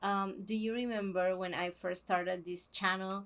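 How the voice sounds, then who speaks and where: On a very clean recording with a silent background, a woman of medium pitch speaks at a moderate pace with a Spanish accent. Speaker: book vlogger. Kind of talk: casual vlog talk; scripted intro. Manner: halting, many fillers.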